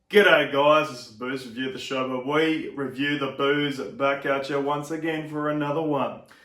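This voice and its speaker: Moderate pace, hardly any pauses and an Australian accent, with audible room echo. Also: man, fairly high pitch for a man. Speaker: beer reviewer. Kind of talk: product review. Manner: casual, with filler words.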